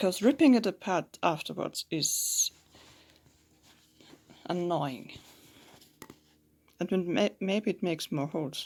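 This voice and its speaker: With a non-native accent, the speaker goes at a very slow pace with long, frequent pauses. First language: not English. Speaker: home sewist. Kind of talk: sewing tutorial talk. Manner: casual.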